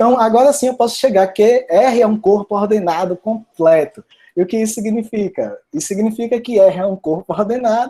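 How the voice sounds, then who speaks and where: This man's voice is dark and mellow in tone. It sits high for a man, with ordinary pitch movement. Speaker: mathematics professor. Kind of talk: lecture. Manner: fast.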